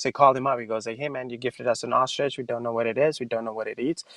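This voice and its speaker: A man with a non-native accent, dry and close with no echo, over a quiet background. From Pakistan. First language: not English. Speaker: stand-up comedian. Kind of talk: stand-up.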